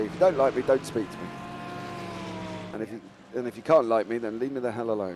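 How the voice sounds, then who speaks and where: Music plays in the background as a man with a medium pitch speaks at a very fast pace. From London, England. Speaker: schoolteacher and sim racing streamer. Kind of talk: casual chat on livestream. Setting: live stream during race.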